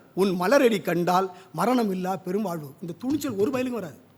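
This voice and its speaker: A man speaks with lively intonation. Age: 50s. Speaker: poet and literary critic. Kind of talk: literary review speech. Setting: stage at a book launch.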